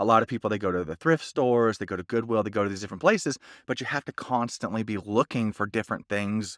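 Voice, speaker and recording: Very fast speech from a man with fairly low pitch and ordinary pitch variation, in a very clean recording with a silent background and a dry, close sound with no echo. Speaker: voiceover artist and online seller. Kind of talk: vlog monologue. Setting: voiceover booth. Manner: casual, conversational.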